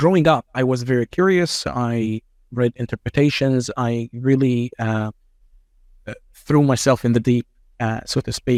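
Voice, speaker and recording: At a moderate pace and with ordinary pitch variation, a man with an Arabic accent speaks with long, frequent pauses, the sound dry and close with no echo. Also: medium pitch for a man. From Egypt. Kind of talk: interview conversation. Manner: calm, measured.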